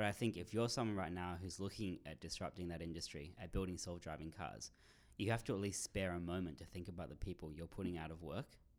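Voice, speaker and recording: With an Australian accent, a man talks at a very fast pace in a very deep, low pitch, using ordinary pitch variation. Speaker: writer and startup marketer. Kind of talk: interview. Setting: studio.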